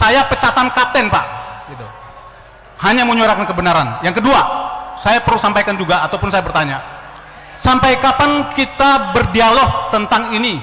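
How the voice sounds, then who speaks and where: A man with an extremely high pitch uses a raised, projected voice at a fairly quick pace with ordinary pitch variation, amid noticeable background noise and audible room echo. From Ternate, North Maluku. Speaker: former army officer. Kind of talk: audience question at a public forum. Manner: halting, with fillers.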